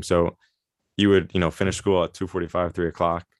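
A man with a very deep, low pitch and a New York accent, monotone and flat in intonation, at a fairly quick pace, with a dry, close sound, no echo and a quiet background. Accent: New York American. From New York, US. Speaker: semi-professional soccer player. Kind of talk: casual interview.

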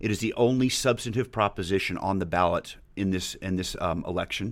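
On a very clean recording with a silent background, a man talks at a fairly quick pace with a fairly low pitch and ordinary pitch variation. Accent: American. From Texas, Dallas area (Highland Park). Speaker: political action committee volunteer. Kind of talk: casual interview. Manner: halting, many fillers and restarts.

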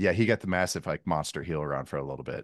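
An animated man with vocal fry and very wide pitch swings, dry and close with no echo, over a quiet background. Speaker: football analyst. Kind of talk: casual sports analysis chat. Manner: jokey, animated.

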